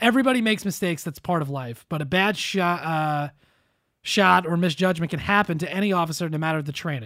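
The recording is very clean and the background silent. A man talks at a very fast pace in a high pitch with ordinary variation and a bright, sharp tone. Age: 30s. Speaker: podcast host. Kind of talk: casual chat. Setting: studio.

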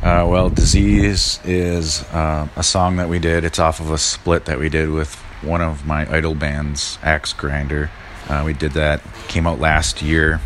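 With noticeable background noise behind him, a man with an American accent and a very deep, low pitch talks at a fairly slow pace with fairly even intonation. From US Midwest, northern Wisconsin (Red Cliff). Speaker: chef and punk bassist. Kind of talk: interview. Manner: hesitant, many fillers.

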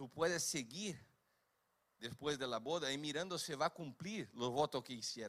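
A man with a Brazilian accent speaks at a fairly slow pace, fairly high in pitch, with lively intonation. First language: Portuguese (speaking Spanish). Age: 50s. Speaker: preacher. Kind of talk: sermon.

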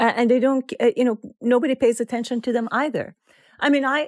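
A woman with a Persian accent speaks in a dry, close sound with no echo. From Iran. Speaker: author. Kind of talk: interview. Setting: remote call.

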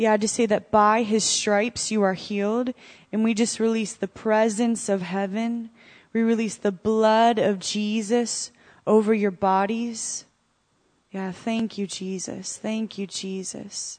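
Over a quiet background, a woman with an American accent speaks in a monotone, flat intonation. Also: fairly slow pace. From US Northeast. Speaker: ministry school student. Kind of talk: prophetic word in church. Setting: church.

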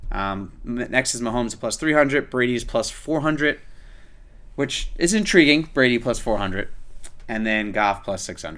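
A man with a normal speaking voice keeps a medium pitch and lively intonation while talking at a moderate pace. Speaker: podcast host. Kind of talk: casual sports chat.

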